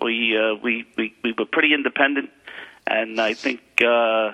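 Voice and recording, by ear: At a moderate pace, the voice sounds bright and sharp, with fairly even intonation. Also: man, medium pitch for a man.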